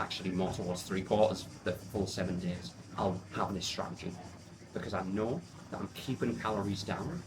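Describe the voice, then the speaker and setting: Amid audible room echo, a man with an English accent talks at a moderate pace, fairly low in pitch with ordinary pitch variation. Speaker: fitness coach. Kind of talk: vlog narration.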